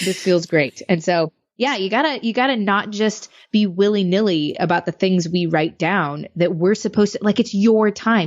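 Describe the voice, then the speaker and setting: The woman's voice falls at a medium pitch. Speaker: business strategist and podcaster. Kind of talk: interview conversation. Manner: fast; animated.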